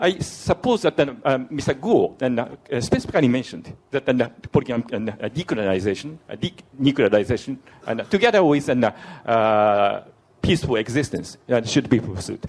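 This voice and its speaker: A medium-pitched man speaks at a moderate pace with lively intonation, with noticeable background noise behind him. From Japan. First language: Japanese. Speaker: diplomat asking question from audience. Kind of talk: audience question at conference. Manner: halting, many fillers.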